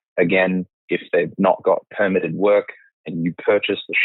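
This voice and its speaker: A man with an Australian accent speaks at a moderate speed. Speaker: accountant, company finance chief. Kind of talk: casual interview.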